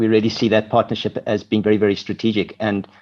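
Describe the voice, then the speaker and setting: With a South African accent, a man talks at a very fast pace and fairly low pitch over a quiet background. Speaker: corporate marketing executive. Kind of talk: interview. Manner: halting, many fillers.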